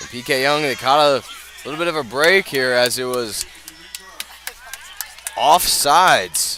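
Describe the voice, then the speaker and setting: A man speaks with long, frequent pauses and big swings in loudness. Noticeable background noise runs behind him. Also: fairly high pitch for a man, ordinary pitch variation. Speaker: radio play-by-play announcer. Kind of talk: live sports radio play-by-play. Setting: outdoors at a football stadium, live broadcast.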